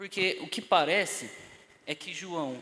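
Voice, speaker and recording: A man's fairly high-pitched voice, bright and sharp in tone, with ordinary pitch variation and a very slow pace. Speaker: Bible teacher. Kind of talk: lecture.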